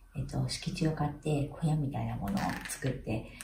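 A woman talks at a very deep, low pitch and a fairly quick pace. Her intonation is lively, with noticeable background noise behind her. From Hiroshima, Japan. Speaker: architect. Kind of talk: interview answer. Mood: calm, friendly. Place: home room.

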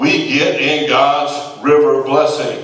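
A man talks at a fairly slow pace, and the room echo is audible. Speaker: preaching pastor. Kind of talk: sermon. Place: church.

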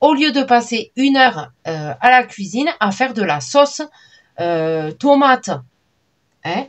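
The woman's pace is very slow, and the background is quiet. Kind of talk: casual vlog chat. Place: home room.

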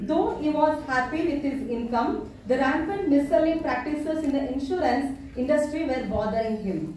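The speaker has a Kannada accent. There is strong room echo and light background noise. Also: woman, high pitch for a woman, moderate pace. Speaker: professor and master of ceremonies. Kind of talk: formal event introduction. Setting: college auditorium with student audience. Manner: formal. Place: hall. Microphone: pa.

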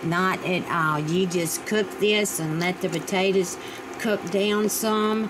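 A woman with a Virginia accent at a very slow pace, fairly even intonation and very even loudness, over noticeable background noise. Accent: Southern US (Virginia). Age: 60s. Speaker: home cooking vlogger. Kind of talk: cooking tutorial. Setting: home kitchen. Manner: chatty, with frequent fillers. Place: kitchen. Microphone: camera far.

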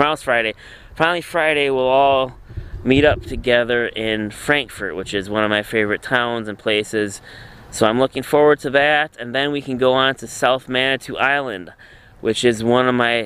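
A man talks at a moderate pace with ordinary pitch variation. His tone is bright and sharp, in a dry sound with no echo. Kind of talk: casual vlog chat. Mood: relaxed, looking forward. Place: boat. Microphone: phone near.

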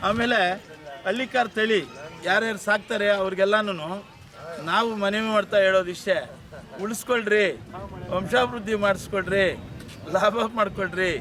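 Over noticeable background noise, a man speaks in a raised, projected voice that is high in pitch. His loudness is very even and his intonation fairly even. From Chintamani taluk, Karnataka, India. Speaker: retired government employee and cattle breeder. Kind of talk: interview at a cattle fair.

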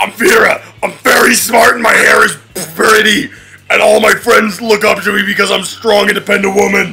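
At a moderate pace, a man uses a put-on character voice with a high pitch. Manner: dim, earnest, friendly.

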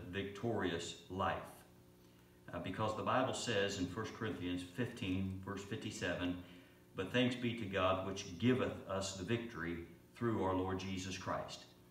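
Music plays in the background while a man speaks. His pitch is fairly low, and the room echo is audible. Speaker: pastor. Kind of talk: sermon. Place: church.

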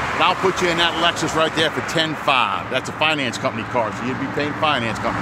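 Over noticeable background noise, a man speaks with ordinary pitch variation, the sound dry with no echo. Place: street. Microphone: phone near.

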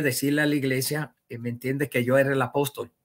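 A man against a quiet background. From Puerto Rico. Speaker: self-proclaimed religious leader, former church minister. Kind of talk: interview testimony. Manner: halting. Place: home room. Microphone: webcam.

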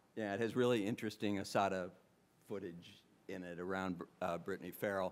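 Speaking at a fairly quick pace, a man uses a very deep, low pitch with fairly even intonation. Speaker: history professor and author; history professor. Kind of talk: book launch talk. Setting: bookstore event with live audience. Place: hall. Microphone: podium.

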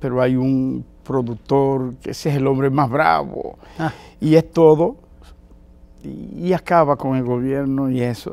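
This man's dark, mellow tone sits at a medium pitch, with ordinary pitch variation and a fairly slow pace. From Dominican Republic. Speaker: diplomat and religious leader; interview guest. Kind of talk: interview. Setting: TV studio. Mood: warm, enthusiastic. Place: studio.

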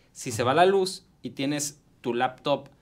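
The pace is moderate. It is a man's voice. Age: 40s. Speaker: tech columnist; tech vlogger. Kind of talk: radio tech segment interview. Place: studio. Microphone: studio mic.

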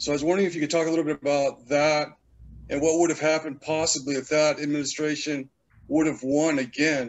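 The delivery is monotone and flat at a very fast pace. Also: man, fairly high pitch for a man. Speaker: audience member asking a question; audience member. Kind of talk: Q&A question. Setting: video call. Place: home room. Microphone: video call.

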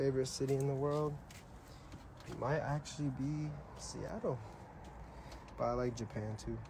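A man speaks at a moderate pace with a dark, mellow tone, a somewhat breathy quality and ordinary pitch variation. His speech has long, frequent pauses, and noticeable background noise is present. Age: 20s. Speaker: rapper on a livestream; streamer. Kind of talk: casual livestream chat. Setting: Instagram live video. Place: garden. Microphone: phone near.

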